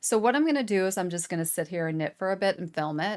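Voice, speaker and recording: On a very clean recording with a silent background, a woman talks in an animated tone with lively intonation. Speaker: knitting video host. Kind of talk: casual vlog chat. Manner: chatty, animated; loud.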